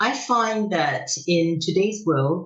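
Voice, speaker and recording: Lively in intonation, a woman speaks at a fairly low pitch in a somewhat breathy voice, with audible room echo. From Macau. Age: 70s. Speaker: business executive. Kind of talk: podcast interview.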